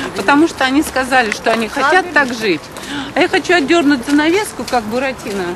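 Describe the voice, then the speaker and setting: Speaking at a fairly quick clip, a woman uses lively intonation and a high pitch, with noticeable background noise behind her. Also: very even loudness. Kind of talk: talk show conversation.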